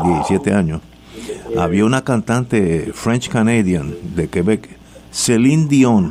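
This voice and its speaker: With a Puerto Rican accent, a man speaks at a fairly slow pace in a fairly low pitch, his intonation lively over noticeable background noise. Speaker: radio host. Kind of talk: casual panel talk on political radio. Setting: radio studio.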